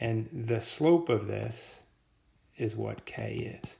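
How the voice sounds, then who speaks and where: This is a man speaking. His voice comes across somewhat breathy. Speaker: teacher. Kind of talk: lecture. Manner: casual.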